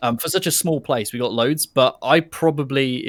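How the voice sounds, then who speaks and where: A man speaks with a strong British accent at a fairly high pitch and a moderate pace. The sound is dry and close with no echo. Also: ordinary pitch variation. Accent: strongly British. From England. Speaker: conversation participant.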